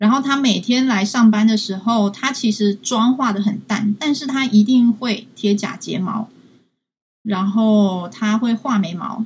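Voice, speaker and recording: A woman's somewhat breathy voice with a Taiwanese accent, fairly high in pitch, at a fairly slow pace. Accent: Taiwanese Mandarin. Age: 20s. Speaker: social science student and field researcher. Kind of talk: live-stream interview. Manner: halting, many fillers.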